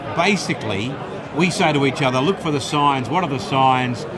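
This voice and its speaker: Speaking at a moderate pace with an Australian accent, a man with a fairly high pitch and ordinary pitch variation is heard with audible room echo and noticeable background noise. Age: 60s. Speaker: radio presenter and rugby league commentator. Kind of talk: casual interview. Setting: live event at a club luncheon.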